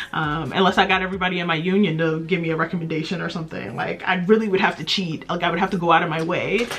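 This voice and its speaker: A woman is speaking, with noticeable background noise behind her. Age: 30s. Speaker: beauty vlogger. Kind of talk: casual chat. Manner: chatty.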